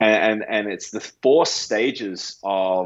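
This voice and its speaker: Speaking at a very slow pace, a man with an Australian accent keeps his intonation fairly even. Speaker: pastor. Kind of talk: podcast interview answer.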